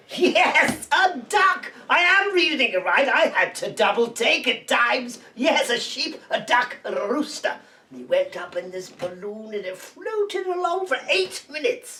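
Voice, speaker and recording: Using a put-on character voice, the speaker goes high in pitch with very wide pitch swings, moving at a moderate pace with hardly any pauses. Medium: comedy sketch. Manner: giggly, chatty.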